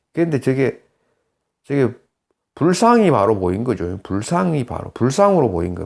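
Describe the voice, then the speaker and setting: On a very clean recording with a silent background, a man speaks at a very slow pace with very wide pitch swings. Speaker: saju fortune-telling teacher and counselor. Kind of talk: lecture. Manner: halting.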